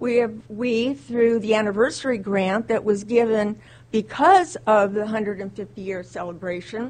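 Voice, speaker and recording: A woman with a fairly high voice speaks at an even, moderate speed, her pitch rising and falling in an ordinary way. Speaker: community volunteer. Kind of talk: public address. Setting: city council chambers. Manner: loud.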